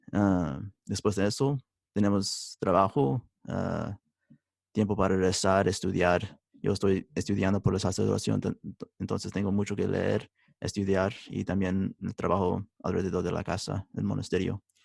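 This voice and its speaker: A man with an English accent speaks in a very deep, low pitch with vocal fry at a fairly slow pace. His intonation is fairly even, and the sound is dry and close with no echo. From United States. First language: English (speaking Spanish). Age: 20s. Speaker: religious brother, seminarian. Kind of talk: interview. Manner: halting, many hesitations.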